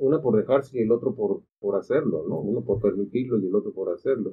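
With an ordinary speaking voice, the man's pitch moves in an ordinary way. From Mexico, Acapulco (Guerrero). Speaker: gynecologist. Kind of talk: casual panel discussion.

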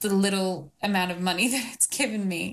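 The woman's medium-pitched voice comes across somewhat breathy. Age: 20s. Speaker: retreat business founder. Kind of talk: coaching conversation.

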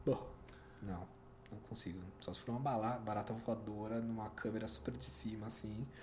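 A man's fairly low voice at a moderate pace, with ordinary pitch variation, noticeable background noise and audible room echo. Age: 40s. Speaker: physiotherapist. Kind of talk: street interview.

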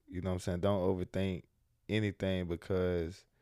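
On a very clean recording with a silent background, a voice with an American accent speaks in a dark, mellow tone with monotone, flat intonation. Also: man. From US South, Jacksonville, Florida. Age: 20s. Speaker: entrepreneur and podcast host. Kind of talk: casual interview.

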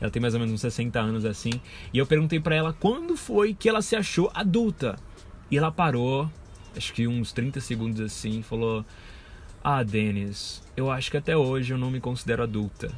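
A man's somewhat breathy voice at a moderate pace with lively intonation. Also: medium pitch for a man. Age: 20s. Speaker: podcast host. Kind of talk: solo casual monologue. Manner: informal, rambling with fillers.

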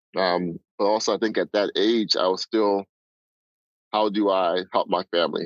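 A man with a New York accent speaks in a fairly low, monotone, flat voice at very even loudness, with long, frequent pauses. The sound is dry and close with no echo, against a quiet background. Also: moderate pace. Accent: New York American. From Nigeria, raised in the Bronx, New York. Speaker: guest, sports data professional. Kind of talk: casual interview conversation.

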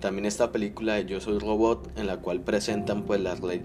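A man's fairly low voice comes through noticeable background noise, moving at a moderate pace and rising and falling in an ordinary way. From Colombia. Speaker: podcast host, aspiring writer. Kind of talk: solo podcast monologue, literary analysis. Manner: halting, with fillers.

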